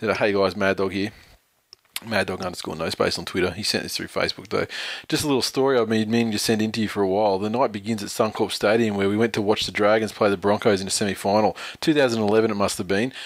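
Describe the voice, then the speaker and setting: Delivering his words at a very fast pace, a man keeps a fairly low pitch with fairly even intonation. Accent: Australian. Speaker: podcast co-host. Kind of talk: casual chat.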